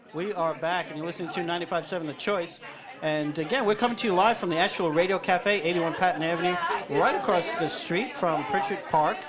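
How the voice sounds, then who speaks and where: Someone talks at a very fast pace with crowd noise in the background. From New York. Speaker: radio host. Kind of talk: radio interview. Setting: live radio broadcast from a cafe.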